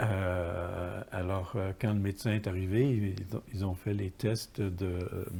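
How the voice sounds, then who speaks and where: A man with a Quebec accent speaks at a very slow pace with hardly any pauses. His very deep, low voice is somewhat breathy, with a dark, mellow tone and fairly even intonation. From Quebec, Montreal area (Verdun). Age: 70s. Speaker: poet and writer, software publisher founder. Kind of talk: interview. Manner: halting, many hesitations and repetitions.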